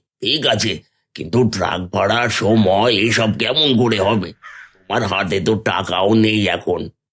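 In a cartoonish character voice, a man talks at a fairly slow pace with a fairly low pitch and very even loudness. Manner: worried, cautious.

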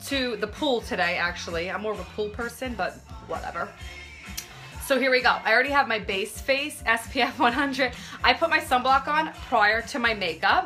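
Over faint background music, a woman speaks at a moderate pace. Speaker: makeup live streamer. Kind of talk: casual tutorial chat. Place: home room. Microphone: phone near.

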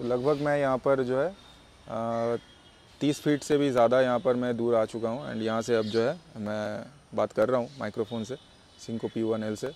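A man talks at a moderate pace with a medium pitch. There is little pitch movement, and his tone is slightly mellow.

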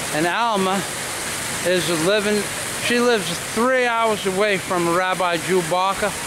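A man speaks at a fairly slow pace with long, frequent pauses. The sound is dry with no echo, and there is noticeable background noise. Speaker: vlogger. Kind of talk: street vlog with a carnival-barker patter, hyping his companion to the camera. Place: street. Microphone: phone near.

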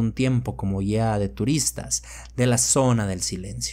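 A man speaks at a fairly slow pace in a fairly low pitch. His tone is dramatic and somewhat breathy. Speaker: horror story narrator. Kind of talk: horror narration, first-person story read aloud. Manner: tense, hushed, slow-building suspense; measured, dramatic pacing.

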